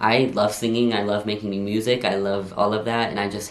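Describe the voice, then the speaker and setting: The tone is animated and the pace moderate. Noticeable background noise can be heard. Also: man. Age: 20s. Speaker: vlogger. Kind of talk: casual Q&A vlog. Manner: casual, animated.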